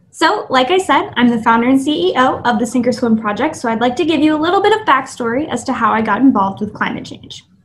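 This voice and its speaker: A woman with a South Florida accent talks at a fairly quick pace. Her voice is high-pitched, with lively intonation. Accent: American, South Florida. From US South, Miami, Florida. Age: 20s. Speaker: climate activist.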